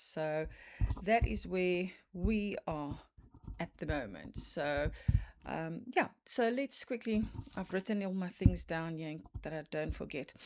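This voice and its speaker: A woman with a South African accent speaks at a fairly slow pace in a very clean recording with a silent background. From South Africa, Cape Town. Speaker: cross stitch vlogger. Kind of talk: casual chat. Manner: hesitant, many fillers.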